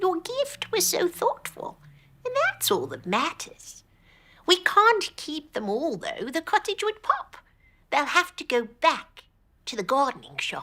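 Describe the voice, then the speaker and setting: A female-sounding voice pitched extremely high, speaking at a fairly slow pace. It is a put-on character voice with very wide pitch swings. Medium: read story.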